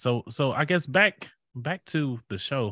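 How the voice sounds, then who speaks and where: In a very clean recording with a silent background and a dry, close sound with no echo, a man uses an ordinary speaking voice at medium pitch with lively intonation. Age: 30s. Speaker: podcast host. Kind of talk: casual chat.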